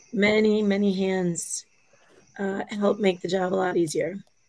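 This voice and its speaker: In an Upper Midwest accent, a woman talks at a fairly slow pace and medium pitch. Her intonation is monotone and flat. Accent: Upper Midwest American. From US Midwest. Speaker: co-host. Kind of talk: casual chat.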